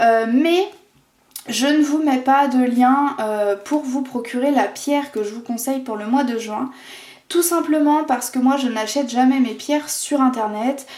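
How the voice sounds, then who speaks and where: Ordinary pitch variation in a woman's high voice, moving at a fairly slow pace. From France, Vendée. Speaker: tarot and oracle card reader. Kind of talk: oracle card reading video. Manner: hesitant, many fillers.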